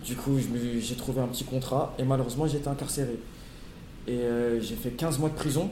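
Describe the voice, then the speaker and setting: Over noticeable background noise and audible room echo, a man of medium pitch speaks at a fairly quick pace with fairly even intonation and long, frequent pauses. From Paris region (Hauts-de-Seine). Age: 20s. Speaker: former prisoner. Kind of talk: testimony.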